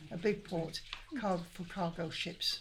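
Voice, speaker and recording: Against noticeable background noise, a woman with a Lancashire accent speaks at a medium pitch and a fairly slow pace with fairly even intonation. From northern England, Manchester. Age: 80s+. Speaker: older community group member. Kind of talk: casual interview chat. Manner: halting.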